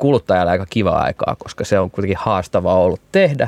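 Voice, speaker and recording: A man with an ordinary speaking voice, fairly low in pitch, talks at a fairly quick pace in a dry, close sound with no echo. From Finland, Turku. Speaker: beer festival organizer. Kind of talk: casual chat.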